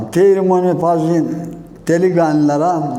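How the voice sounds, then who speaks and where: A man with a fairly high pitch at a very slow pace. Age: 70s. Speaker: villager. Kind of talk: interview answer, reminiscing.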